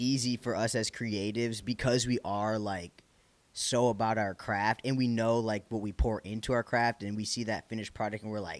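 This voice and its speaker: Speaking at a moderate pace with a Michigan accent, a man sounds animated, and the sound is dry and close with no echo. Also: medium pitch for a man. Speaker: podcast host. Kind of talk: casual interview chat.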